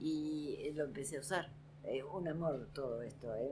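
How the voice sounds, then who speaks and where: A woman's very deep, low-pitched voice with audible room echo. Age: old. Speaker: stand-up comedian. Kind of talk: casual interview chat.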